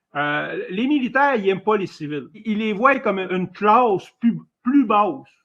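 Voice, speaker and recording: A man's high voice at a fairly slow pace, with lively intonation. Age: 60s. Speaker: former military caller in live debate. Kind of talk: live debate. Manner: halting.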